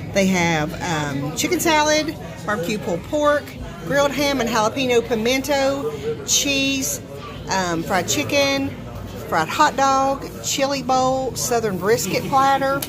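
Crowd noise fills the background as the speaker talks at a fairly slow pace. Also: woman, high pitch for a woman. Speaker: food vlogger. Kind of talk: casual vlog chat. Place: cafe. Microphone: phone near.

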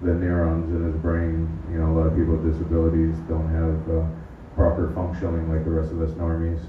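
Audible room echo plus light background noise. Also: man. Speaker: open-mic comedian. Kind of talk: stand-up set, personal monologue. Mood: earnest, hesitant, halting. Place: stage. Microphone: camera far.

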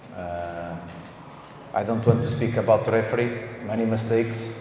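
In a room with audible echo, a man with a fairly low pitch talks at a fairly slow pace, his tone slightly mellow and his pitch varying in an ordinary way.

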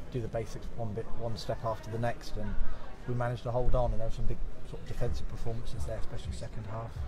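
Talking very fast, a man is heard against noticeable background noise. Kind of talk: interview answer. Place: stadium. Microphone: phone near.

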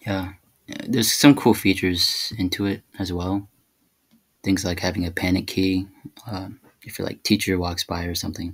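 A man with a very deep, low pitch, fairly even intonation, a somewhat breathy sound, big swings in loudness, a moderate pace and long, frequent pauses. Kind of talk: casual screen-recording tutorial. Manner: flat, monotone.

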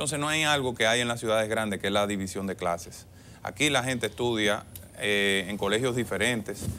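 A man's fairly low voice at a fairly quick pace, with ordinary pitch variation, a bright, sharp tone and light background noise. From Dominican Republic, Monte Plata; Dominican Republic. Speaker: government official and political candidate; candidate. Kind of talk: TV interview. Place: studio. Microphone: lapel.

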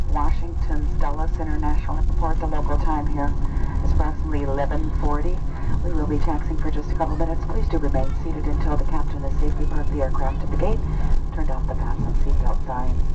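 A man races along at a very fast pace through loud background noise. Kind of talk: arrival announcement. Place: plane.

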